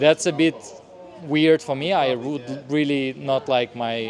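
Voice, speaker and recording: A man with a Russian accent speaks fairly slowly at a medium pitch, his pitch varying in an ordinary way. Background noise is noticeable. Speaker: stand-up comedian. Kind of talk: interview answer.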